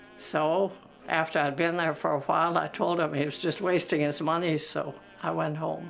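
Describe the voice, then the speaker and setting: With music in the background, a woman with an American accent speaks at a fairly slow pace in a very deep, low voice. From Minnesota, USA. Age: 80s+. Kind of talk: interview answer.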